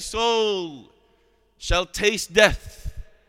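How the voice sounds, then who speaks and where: Raising and projecting his voice, a man speaks very slowly in a high pitch with a bright, sharp tone. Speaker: preacher. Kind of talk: Friday sermon (khutbah) opening with Arabic formula, then solemn exhortation on death. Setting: mosque. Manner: earnest, admonishing, steady preaching cadence; formal, measured, with Arabic phrases.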